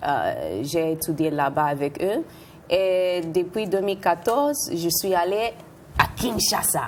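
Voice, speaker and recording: A woman at a very slow pace, with fairly low pitch, lively intonation and very even loudness. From Puerto Rican, from New York. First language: Spanish or English (speaking French). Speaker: dancer and choreographer. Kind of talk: TV interview. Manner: halting, with hesitations.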